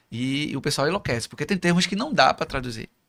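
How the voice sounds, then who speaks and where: On a very clean recording with a silent background, a man talks at a very fast pace with a bright, sharp tone and lively intonation. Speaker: motivational speaker. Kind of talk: interview.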